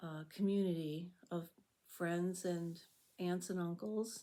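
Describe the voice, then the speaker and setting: A woman with an American accent speaks at a medium pitch in a dark, mellow tone. Her intonation is monotone and flat. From US Midwest, Chicago. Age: 70s. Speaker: YouTuber, retiree. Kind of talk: casual reflective monologue. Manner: calm, unhurried.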